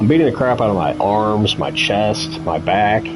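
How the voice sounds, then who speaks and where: A man's voice with audible room echo and music playing in the background. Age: 40s. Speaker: sim racing streamer. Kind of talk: casual chat. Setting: live stream.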